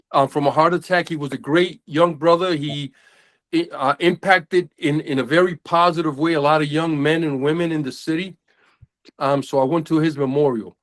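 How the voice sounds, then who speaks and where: A man with an American accent has an ordinary speaking voice at a fairly high pitch, with fairly even intonation. He talks at a moderate pace in a dry, close sound with no echo. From United States. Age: 60s. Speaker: men's group member. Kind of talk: casual group discussion. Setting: video call.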